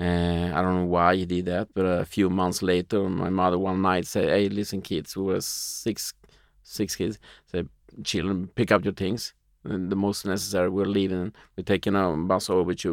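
Speaking with a Spanish accent, a man uses a very deep, low pitch and moderate pace with monotone, flat intonation, on a very clean recording with a silent background. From Uruguay, moved to Sweden at nine. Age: 40s. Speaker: entrepreneur and magazine publisher. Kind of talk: interview conversation.

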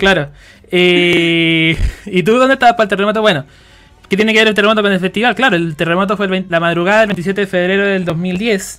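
A man with a Chilean accent talks at a very fast pace in a high pitch. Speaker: podcast host. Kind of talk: casual chat.

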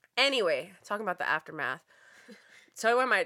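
A woman's animated, bright, sharp voice at a fairly quick pace, in a very clean recording with a silent background. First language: Farsi. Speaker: podcast co-host. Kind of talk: casual chat. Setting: studio.

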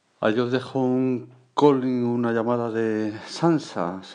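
A man speaks against a quiet background. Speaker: podcaster. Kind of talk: casual vlog-style monologue.

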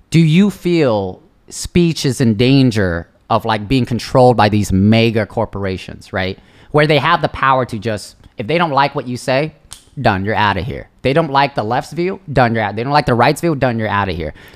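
Speaking in a normal speaking voice, a man keeps a medium pitch and a moderate pace with lively intonation. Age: 20s. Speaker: podcast guest. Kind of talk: casual chat.

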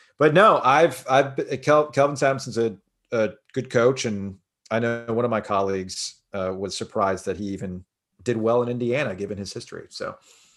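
This is a normal speaking voice with an American accent. It has ordinary pitch variation and a moderate pace. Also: man, medium pitch for a man. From South Florida. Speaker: sports radio host. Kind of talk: podcast interview. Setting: remote call.

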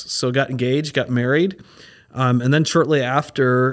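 On a very clean recording with a silent background, a man speaks with an American accent. He has an unremarkable speaking voice at a medium pitch with ordinary pitch variation. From Minnesota. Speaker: pastor. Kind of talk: casual chat.

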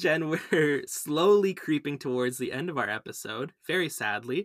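With a normal speaking voice, a man in a Canadian accent talks at a moderate pace in a fairly high pitch, with lively intonation and a dry, close sound with no echo. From Canada. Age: 20s. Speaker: podcast host. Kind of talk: casual interview.

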